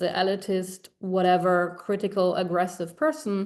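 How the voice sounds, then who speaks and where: The speaker is a woman at medium pitch with fairly even intonation. She goes at a moderate pace against a quiet background. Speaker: curator and writer. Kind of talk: panel talk Q&A. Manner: halting, many fillers and restarts.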